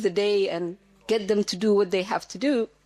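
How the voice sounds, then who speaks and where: The speaker has a Somali accent. The pace is fairly quick. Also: woman. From Somalia. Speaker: audience member, language teacher. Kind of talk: panel discussion comment.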